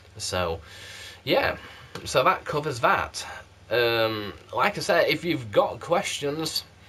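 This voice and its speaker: Amid noticeable background noise, the speaker goes at a very slow pace with long, frequent pauses. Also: man. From South Yorkshire, England. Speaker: candle reviewer vlogger. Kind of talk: casual vlog. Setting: home video recorded on game console camera. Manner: animated.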